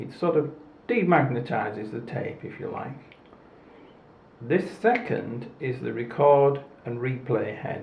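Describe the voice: Strong room echo surrounds a man speaking at medium pitch with vocal fry. He talks at a slow pace with lively intonation.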